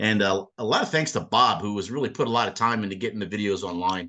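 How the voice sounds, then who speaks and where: A man talks at a fairly quick pace in a medium pitch, with ordinary pitch variation and a bright, sharp tone. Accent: Philadelphia. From Philadelphia, US. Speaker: sailing instructor. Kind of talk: presentation. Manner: fast; slurred.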